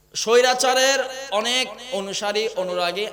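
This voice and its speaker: There is noticeable background noise and audible room echo as a man talks with a high pitch and ordinary pitch variation. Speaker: Islamic preacher. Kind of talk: sermon. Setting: stage with audience. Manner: loud, impassioned.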